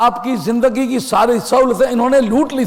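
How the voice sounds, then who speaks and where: A man speaks at an extremely high pitch. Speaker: Islamic scholar and religious lecturer. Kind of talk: religious lecture / sermon. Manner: earnest, argumentative, rhetorical.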